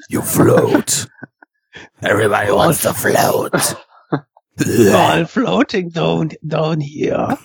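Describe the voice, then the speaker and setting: A raspy, wheezy put-on character voice at a very slow pace, with long, frequent pauses. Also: man. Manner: eerie, menacing.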